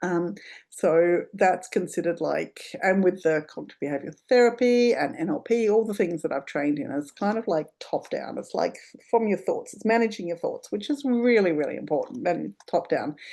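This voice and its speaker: A woman speaks with a plain, everyday voice at a medium pitch. She keeps a moderate pace with lively intonation. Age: 50s. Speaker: sobriety coach and podcast host. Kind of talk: casual podcast monologue. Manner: casual, with many fillers.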